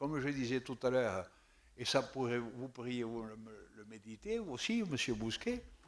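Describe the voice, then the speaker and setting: A man speaks at a medium pitch with a southern French accent. The recording is very clean with a silent background. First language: Occitan (speaking French). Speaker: municipal councillor. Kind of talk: council debate. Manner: halting, repeats words.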